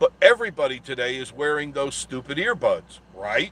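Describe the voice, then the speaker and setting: A man talks with lively intonation. His voice is fairly high-pitched. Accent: New York. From Long Island, New York. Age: 60s. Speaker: travel vlogger. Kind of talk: casual live stream monologue.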